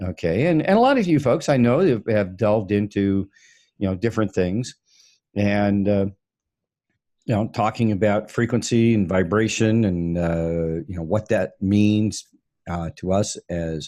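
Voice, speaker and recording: The tone is dark and mellow, with ordinary pitch variation at a fairly slow pace. The recording is very clean, with a silent background. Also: man, fairly low pitch for a man. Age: 60s. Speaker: online talk show co-host. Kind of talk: casual discussion. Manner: halting, many fillers.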